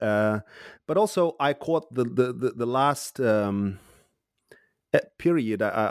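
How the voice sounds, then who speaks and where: A man speaks with an Uzbek accent. The recording is very clean and dry, close and echo-free, over a silent background. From Uzbekistan. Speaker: historian and university lecturer. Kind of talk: interview, academic discussion.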